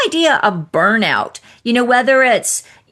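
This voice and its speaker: A woman speaks at a moderate pace in a high pitch. Her tone is bright and sharp, with lively intonation. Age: 60s. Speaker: podcast host and divorce coach. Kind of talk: interview.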